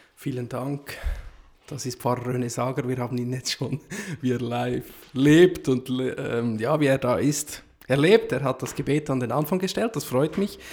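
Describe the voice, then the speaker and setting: With a normal speaking voice, this man holds a medium pitch, ordinary pitch variation and a moderate pace. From Central Switzerland. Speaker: podcast host. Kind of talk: interview conversation. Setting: sacristy of a small chapel.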